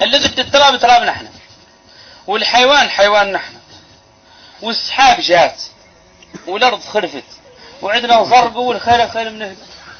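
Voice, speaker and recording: Over noticeable background noise, a man with a Mauritanian accent speaks at an extremely high pitch and moderate pace, with ordinary pitch variation and long, frequent pauses. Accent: Hassaniya Arabic. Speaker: Islamic preacher. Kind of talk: religious sermon.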